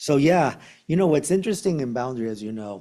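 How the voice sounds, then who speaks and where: In an Argentine accent, a man speaks in a dark, mellow tone with lively intonation. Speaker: meditation teacher. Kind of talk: dharma talk. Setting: meditation center with audience and online viewers.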